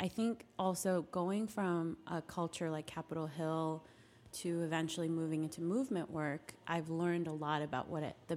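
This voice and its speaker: A woman with an unremarkable speaking voice at a fairly quick pace. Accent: American. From US West, Nevada (Carson City). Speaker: policy organizer. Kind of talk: interview.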